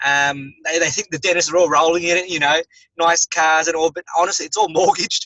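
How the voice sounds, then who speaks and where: Speaking with an Australian accent, a man uses a high pitch and flat, monotone intonation. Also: fairly quick pace. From Australia, Melbourne. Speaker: dentist and network marketer. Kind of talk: interview. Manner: hesitant, many fillers.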